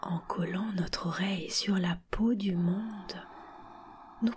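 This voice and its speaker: Very slowly, a woman talks while noticeable background noise carries on. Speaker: reader. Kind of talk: literary text reading.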